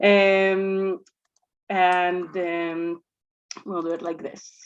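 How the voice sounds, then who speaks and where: A woman speaks with an Israeli accent. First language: Hebrew. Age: young. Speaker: communications director and religious movement representative. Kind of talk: presentation. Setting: synagogue event with audience, microphone. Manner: halting, many fillers.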